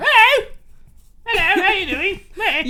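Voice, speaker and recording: A put-on character voice at an extremely high pitch talks at a moderate pace. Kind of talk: polite friendly greeting.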